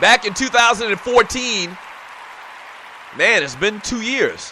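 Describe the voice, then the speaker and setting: Over crowd noise in the background, a man speaks in a raised, projected voice at an extremely high pitch and a fairly slow pace. His tone is animated, with ordinary pitch variation. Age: 40s. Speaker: sports talk radio host. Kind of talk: casual sports talk show. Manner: filler-heavy, frequent uh and um.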